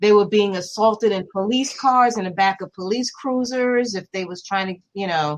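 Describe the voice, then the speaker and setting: With ordinary pitch variation, the speaker uses a normal speaking voice. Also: woman. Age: 60s. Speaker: retired law enforcement and corrections officer. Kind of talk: podcast interview.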